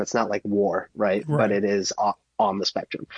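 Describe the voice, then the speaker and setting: A man with an American accent talks in a monotone, flat delivery at a fairly low pitch. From Minnesota, US. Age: 20s. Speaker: photographer and filmmaker. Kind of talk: casual interview.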